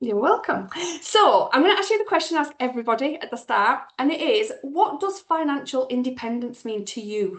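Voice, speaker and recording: A woman speaks in an English accent. Her voice is high-pitched, with very wide pitch swings. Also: fairly quick pace. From England. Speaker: podcast host, finance mentor. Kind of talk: interview.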